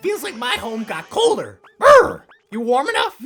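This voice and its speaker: A put-on character voice is pitched high and swings very widely in pitch. The pace is moderate. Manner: upbeat, excitable.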